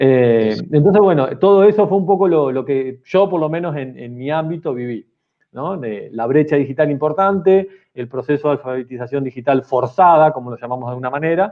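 With big swings in loudness, a man in a Rioplatense accent speaks at a fairly high pitch. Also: ordinary pitch variation, fairly quick pace. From Argentina, Mar del Plata. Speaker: technology teacher. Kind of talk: casual chat.

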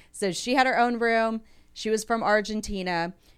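A woman with a Texas accent at a moderate pace, ordinary pitch variation, music in the background. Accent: American, Texas. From Houston, Texas. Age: 40s. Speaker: muralist and entrepreneur. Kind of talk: casual interview. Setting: studio.

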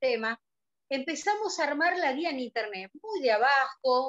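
A woman speaks with a Rioplatense accent at a fairly slow pace. The sound is dry and close, with no echo. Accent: Argentine Spanish (rioplatense). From Argentina. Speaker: business director of an online fashion platform. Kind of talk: interview.

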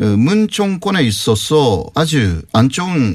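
A man's voice swings very widely in pitch. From Japan. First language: Japanese (speaking Korean). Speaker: university professor. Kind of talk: interview.

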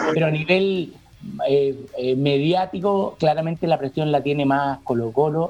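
Noticeable background noise accompanies a man speaking at a fairly slow pace and fairly high pitch with ordinary pitch variation. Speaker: TV critic and university lecturer. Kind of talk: casual chat.

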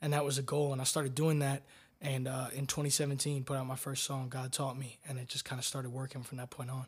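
Very fast and somewhat breathy, a man talks in a monotone, flat intonation with an American accent. The recording is very clean, with a silent background. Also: medium pitch for a man. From Florida, Tampa. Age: 20s. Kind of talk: casual interview.

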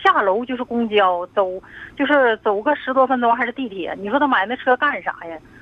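A woman talks at a fairly quick pace with lively intonation and fairly high pitch. Hers is a plain, everyday voice. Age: 50s. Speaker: caller. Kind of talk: phone-in advice call.

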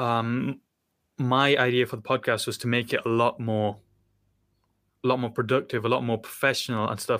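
Speaking fairly quickly with a British accent, a man holds a monotone, flat intonation at medium pitch in a bright, sharp tone. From United Kingdom. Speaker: podcast host and university student. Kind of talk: casual interview chat. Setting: remote video call. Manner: stumbling, stutters when unplanned.

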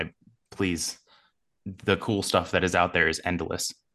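In an American accent, a man with a very deep, low pitch speaks in a bright, sharp tone with fairly even intonation against a quiet background. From US East Coast. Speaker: sports podcaster. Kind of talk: interview.

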